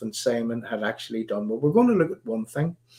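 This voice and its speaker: With a Northern Irish accent, a man speaks in a dark, mellow tone with lively intonation. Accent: Northern Irish (Belfast). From Northern Ireland. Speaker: political activist and livestream host. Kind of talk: live stream talk. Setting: live stream broadcast. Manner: halting, many fillers and repeats.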